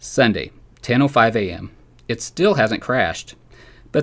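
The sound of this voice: Lively intonation from an unforced reading voice.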